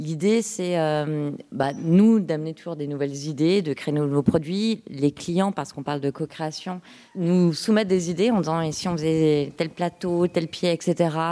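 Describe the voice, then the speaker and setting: A woman talks at a fairly slow pace with hardly any pauses, her fairly low pitch carrying a dark, mellow tone and ordinary pitch variation. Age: 30s. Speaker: startup co-founder. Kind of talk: interview.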